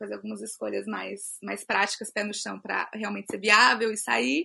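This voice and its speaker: A woman talks at a fairly quick pace. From Brasília, Brazil. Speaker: illustrator and author. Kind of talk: casual chat.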